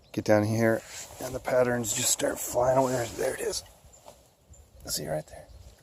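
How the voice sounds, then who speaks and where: A quiet man at a moderate pace, with big swings in loudness, long and frequent pauses, and noticeable background noise. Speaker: hiking vlogger. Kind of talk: outdoor vlog narration. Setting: outdoors in woods by a creek. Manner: quiet, low-voiced.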